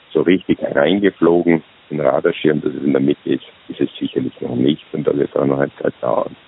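Over noticeable background noise, this man moves along at a fairly quick pace. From Austria. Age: 60s. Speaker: retired executive turned self-employed consultant. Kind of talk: interview. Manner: halting.

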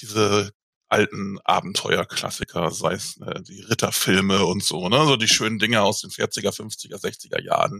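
A man's bright, sharp tone at a very slow pace. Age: 40s. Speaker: tabletop role-playing game master. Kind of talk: casual interview. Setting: video call.

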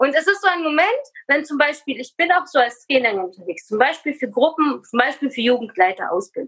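Her pitch is high and swings very widely. The woman talks at a fairly quick pace. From Kazakhstan, Russian-German family, moved to Germany at eight. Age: 30s. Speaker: personal development coach and speaker. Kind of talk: interview.

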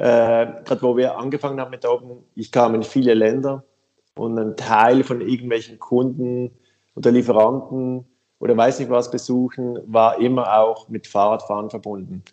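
A man of medium pitch talks in a Swiss German accent with monotone, flat intonation. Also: moderate pace. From Switzerland. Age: 50s. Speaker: bicycle company co-founder. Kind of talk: casual interview.

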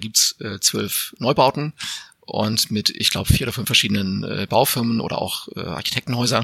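A man's normal speaking voice at medium pitch, moderate pace and ordinary pitch variation, with a dry, close sound and no echo. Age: 40s. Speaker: editor and homeowner. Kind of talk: interview.

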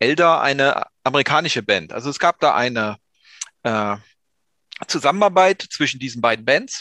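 A man with a fairly high pitch and a bright, sharp tone speaks at a moderate pace with lively intonation and long, frequent pauses, in a dry, close sound with no echo against a quiet background. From East Germany. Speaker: music podcast co-host. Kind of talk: casual chat.

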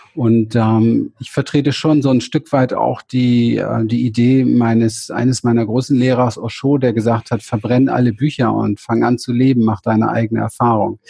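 A man with a dark, mellow, somewhat breathy voice speaks at medium pitch and a moderate pace, with hardly any pauses. His intonation is monotone and flat, and the sound is dry and close with no echo. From Berlin, Germany. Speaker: spiritual coach and therapist. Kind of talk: interview. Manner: halting.

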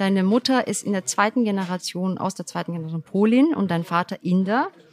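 A woman talks in a plain, everyday voice at a medium pitch and moderate pace, with ordinary pitch variation. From Germany, Turkish parents. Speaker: podcast host. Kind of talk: interview.

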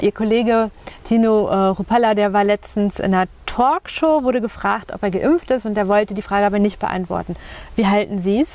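A woman's medium pitch with ordinary pitch variation, amid noticeable background noise. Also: moderate pace. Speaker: podcast host, journalist. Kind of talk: interview. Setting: outdoors on a bench by a lake.

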